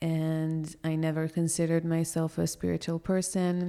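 On a very clean recording with a silent background, a woman with an Israeli accent speaks at a moderate pace, her pitch very deep and low, her tone dark and mellow. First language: Hebrew. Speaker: yoga teacher. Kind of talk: casual chat. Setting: cafe patio.

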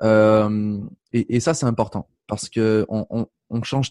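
In a dry, close recording with no echo and a quiet background, a man speaks at medium pitch and a fairly slow pace in a dark, mellow tone. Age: 20s. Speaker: life coach and speaker. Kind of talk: interview. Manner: casual.

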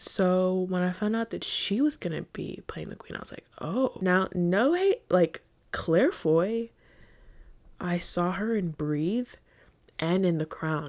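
Speaking with an American accent, a woman uses a fairly low pitch and a fairly slow pace, her tone animated and her intonation lively. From United States. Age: 20s. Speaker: podcast host. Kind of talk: casual late-night monologue. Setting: in bed at night.

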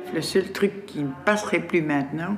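With lively intonation and a moderate pace, a woman speaks over noticeable background noise. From Brussels, Laeken. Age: 60s. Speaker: resident. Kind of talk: casual chat.

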